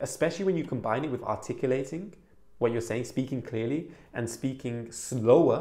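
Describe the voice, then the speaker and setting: Speaking at a moderate pace, a man uses a medium pitch, ordinary pitch variation and an animated tone. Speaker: self-improvement YouTuber. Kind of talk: advice video monologue. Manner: animated, demonstrates quiet and loud voice; louder than he used to speak.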